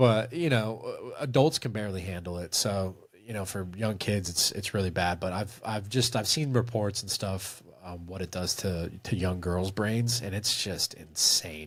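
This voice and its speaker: In a very clean recording with a silent background, a somewhat breathy man with a fairly low pitch speaks at a moderate pace with ordinary pitch variation. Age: 40s. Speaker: movie review video creator. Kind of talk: casual interview chat on a livestream.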